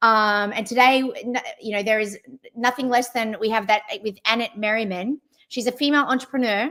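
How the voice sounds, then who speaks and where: A woman speaks with an Australian accent, her pitch fairly high and its variation ordinary. She leaves long pauses, and they come often. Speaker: travel platform CEO, livestream host. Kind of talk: live interview. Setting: livestream.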